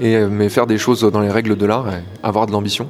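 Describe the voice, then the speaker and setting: A man speaks at a fairly quick pace in a fairly low voice. There is noticeable background noise. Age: 30s. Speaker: site reliability engineer. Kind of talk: career interview monologue. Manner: hesitant, many filler words.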